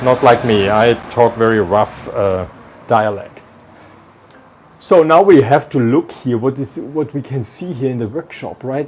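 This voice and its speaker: The speaker talks at a fairly slow pace with ordinary pitch variation. The voice carries a strong Austrian accent. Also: man. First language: German. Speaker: violin maker and video host. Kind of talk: casual workshop visit interview. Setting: indoors in a violin workshop. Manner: halting, with fillers.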